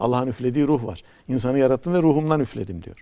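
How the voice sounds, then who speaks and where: The voice moves at a very fast pace with a dark, mellow tone and ordinary pitch variation over a quiet background. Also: man. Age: 60s. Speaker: poet and professor; poet, professor. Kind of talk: TV talk show conversation. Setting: TV studio. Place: studio. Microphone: lapel.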